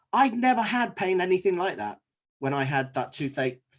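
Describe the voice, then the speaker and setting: With a quiet background, a man talks at a moderate pace, his pitch making very wide swings. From Liverpool, England. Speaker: dentist. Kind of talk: presentation to fellow dentists.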